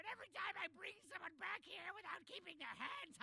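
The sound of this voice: A raspy, cartoonish character voice with an extremely high pitch and a fairly quick pace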